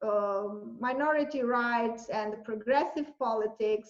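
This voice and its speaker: A woman in a Romanian accent, high in pitch, with lively intonation and a very slow pace. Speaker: university lecturer and journalist. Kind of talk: interview answer.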